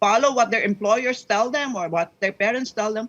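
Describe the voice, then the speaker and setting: A woman speaking at a moderate pace. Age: 70s. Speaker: political science professor. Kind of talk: news interview.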